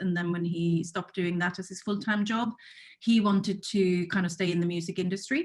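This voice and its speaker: A woman speaks with a Swedish accent at medium pitch. Her voice is somewhat breathy, her intonation fairly even. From Sweden. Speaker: music rights executive. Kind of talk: panel discussion.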